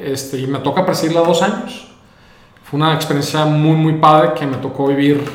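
A man with a northern Mexican accent at a fairly quick pace, with noticeable background noise and audible room echo. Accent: northern Mexican Spanish (Monterrey). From Mexico, Monterrey. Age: 30s. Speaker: entrepreneur. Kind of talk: interview conversation.

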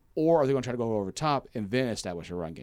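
The recording is very clean, with a silent background. A man speaks at medium pitch in a Southern US accent. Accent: Southern US, noticeable twang. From Kentucky, US South. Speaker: university media relations staffer, guest. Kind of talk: casual sports podcast chat.

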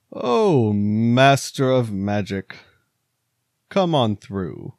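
At a very slow pace, a man does a put-on character voice at medium pitch. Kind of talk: comic game-master voice. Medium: actual play. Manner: imperious, then mocking.

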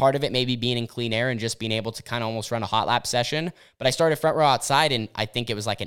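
Talking at a very fast pace with hardly any pauses, a man uses a medium pitch and fairly even intonation on a very clean recording with a silent background. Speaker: podcast host and dirt track racer. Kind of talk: casual chat. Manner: loud.

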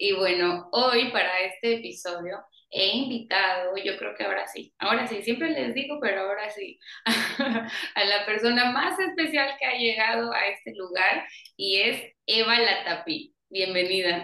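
With vocal fry and a bright, sharp tone, a woman at medium pitch speaks at a fairly slow pace with lively intonation. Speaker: podcast host. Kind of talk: casual interview chat. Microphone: audio and microphone problems.

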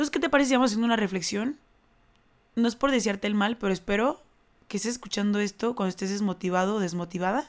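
This woman talks at a very fast pace. Her pitch is fairly high, with ordinary variation. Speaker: podcast host. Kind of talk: solo monologue.

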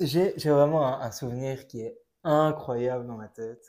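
A man talks with a medium pitch and ordinary pitch variation. His tone is dark and mellow. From Belgium, Brussels. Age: 20s. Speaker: engineer and traveller. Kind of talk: casual interview.

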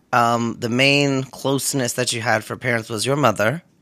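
This man has an unremarkable speaking voice with an American accent. His pitch is medium and his intonation fairly even. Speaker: podcast host. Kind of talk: casual interview chat.

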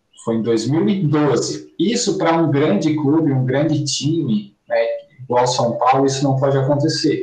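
Against noticeable background noise, a man talks fairly slowly at a fairly high pitch. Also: ordinary pitch variation, very even loudness. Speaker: football podcast co-host. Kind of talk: casual chat.

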